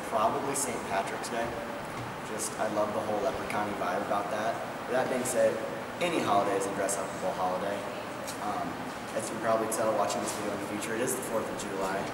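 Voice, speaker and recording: Through loud background noise and audible room echo, a man with an American accent talks at a very fast pace. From US Midwest (Omaha, Nebraska). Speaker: hockey camp counselor and strength coach. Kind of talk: casual interview answers. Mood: cheerful, joking. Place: gym.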